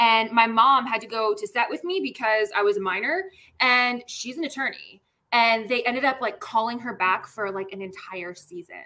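A woman with an American accent speaks at a fairly high pitch in a bright, sharp tone. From Washington DC. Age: 30s. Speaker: actress. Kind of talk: casual chat.

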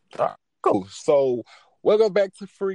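A man speaks in an animated tone, with a dry, close sound with no echo and a quiet background. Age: 20s. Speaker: podcast host. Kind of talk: casual chat.

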